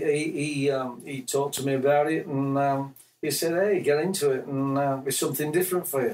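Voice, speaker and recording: A man with an English accent speaks at a moderate pace, with fairly even intonation. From Yorkshire, England. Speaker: musician. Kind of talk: interview. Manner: halting.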